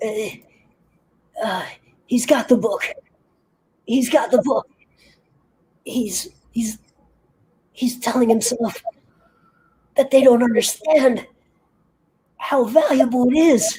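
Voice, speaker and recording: A put-on character voice, raspy and fairly high-pitched, at a fairly slow pace with long, frequent pauses. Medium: actual play. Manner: halting, breathless exclamations.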